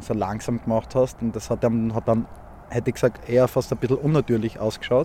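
The speaker talks at a moderate pace in a Styrian accent. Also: man. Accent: Austrian (Styrian) German. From Austria, Graz (Styria). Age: 30s. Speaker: angler. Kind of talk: casual chat and fishing instruction. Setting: outdoors on a small boat on a lake.

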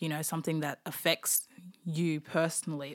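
A woman's fairly low voice in an Australian accent at a moderate pace, on a very clean recording with a silent background. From Darwin, Australia. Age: 20s. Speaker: former prisoner. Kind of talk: interview testimony.

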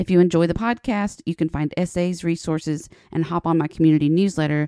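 Speaking fairly quickly in an American accent, a woman has a fairly low pitch, ordinary pitch variation and a dark, mellow tone, recorded very cleanly with a silent background and a dry, close sound with no echo. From Appalachia, US. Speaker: podcast host, professor. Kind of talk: interview, podcast conversation.

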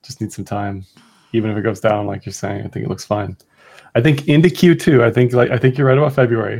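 Talking at a very fast pace, a man uses a medium pitch with vocal fry. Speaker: crypto market analyst co-host. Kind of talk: casual chat. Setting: video call. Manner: mumbling, slurred words.

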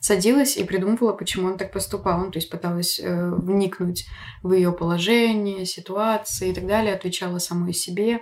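A woman's medium-pitched, ordinary speaking voice with fairly even intonation. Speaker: podcast host. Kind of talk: casual chat. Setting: at home. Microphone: poorer backup recording, quieter than guest.

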